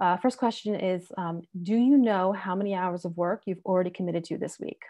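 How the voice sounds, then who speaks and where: Against a quiet background, a woman with an American accent speaks in a dark, mellow tone. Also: medium pitch for a woman, ordinary pitch variation, fairly quick pace. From United States. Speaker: software engineer and entrepreneur. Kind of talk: webinar presentation. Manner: fast; casual with many fillers.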